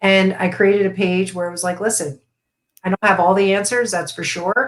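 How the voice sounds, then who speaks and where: Fairly quick and fairly even in intonation, a woman with an American accent uses an ordinary speaking voice at a medium pitch. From US, Florida. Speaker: essential oils and meditation educator. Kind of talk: live stream interview. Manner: casual, many fillers.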